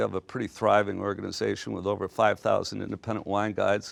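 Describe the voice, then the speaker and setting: A plain, everyday voice from a man, fairly low in pitch and at a fairly quick pace, over a quiet background. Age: 60s. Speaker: business executive. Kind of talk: lecture. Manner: casual.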